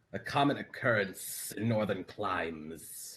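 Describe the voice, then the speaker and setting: A put-on character voice with ordinary pitch variation. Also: man, fairly low pitch for a man, fairly slow pace. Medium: actual play. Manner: formal, archaic, interrogating.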